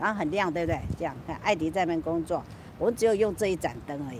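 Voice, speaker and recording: Light background noise accompanies a woman whose pitch swings very widely. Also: dry sound with no echo. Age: old. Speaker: YouTuber livestreaming. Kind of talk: casual livestream chat. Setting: outdoors on a rooftop at night. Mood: relaxed, chatty, late night.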